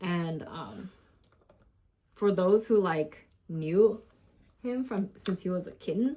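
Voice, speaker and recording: Somewhat breathy, this woman's voice has a dark, mellow tone at a medium pitch. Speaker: pet keeper vlogger. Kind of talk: casual vlog chat. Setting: home. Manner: halting, long pauses.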